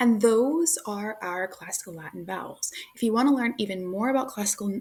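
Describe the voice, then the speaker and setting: Somewhat breathy, the voice moves at a fairly quick pace with an American accent and ordinary pitch variation. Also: woman. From United States. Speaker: language teacher. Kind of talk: tutorial. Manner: casual.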